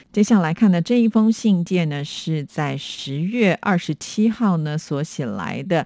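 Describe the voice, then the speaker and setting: Fairly slow speech with hardly any pauses, on a very clean recording with a silent background. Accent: Taiwanese. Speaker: radio host. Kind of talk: radio show replying to listener letters. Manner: many filler particles, chatty.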